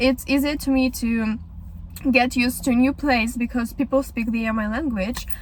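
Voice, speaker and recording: A woman with a Ukrainian accent speaks high-pitched in a flat monotone, with noticeable background noise. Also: moderate pace. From Ukraine, Kyiv. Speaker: vlogger. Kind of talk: casual podcast monologue. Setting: in a car. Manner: halting.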